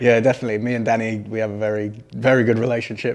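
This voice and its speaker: In an English accent, a man rattles along at a very fast pace with monotone, flat intonation. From English Midlands, Solihull. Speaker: professional footballer. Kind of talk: interview. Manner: casual, hesitant with fillers.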